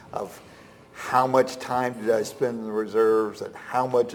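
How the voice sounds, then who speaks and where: A man talks at a fairly slow pace in a flat monotone, with audible room echo and noticeable background noise. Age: 50s. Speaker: military veteran. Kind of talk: interview. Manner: halting, repetitive.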